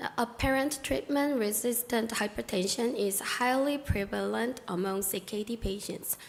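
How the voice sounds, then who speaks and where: Over noticeable background noise, a woman with a fairly high pitch speaks at a moderate pace with ordinary pitch variation and hardly any pauses. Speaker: doctor presenting research. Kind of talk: conference presentation.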